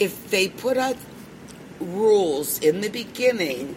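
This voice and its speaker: A woman of medium pitch speaks with lively intonation against noticeable background noise. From Pittsburgh, Pennsylvania. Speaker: cannabis radio host. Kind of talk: casual interview. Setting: expo hall.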